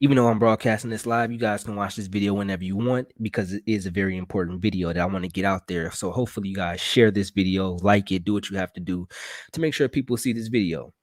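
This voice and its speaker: In a very clean recording with a silent background and a dry, close sound with no echo, a man speaks quietly at a very fast pace with hardly any pauses, using a fairly low pitch and ordinary pitch variation. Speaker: political commentary streamer. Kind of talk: live broadcast monologue. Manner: quiet, talking low.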